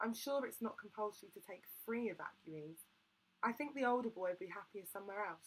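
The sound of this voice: Just an unforced reading voice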